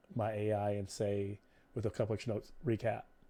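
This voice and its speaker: A very clean recording of a male speaker, the background silent. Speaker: game master. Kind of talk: casual chat. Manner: fast.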